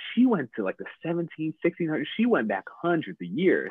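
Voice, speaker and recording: A man talks with an American accent at a fairly quick pace. His pitch swings very widely. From upstate New York. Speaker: podcast guest, father. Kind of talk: casual interview. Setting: video call.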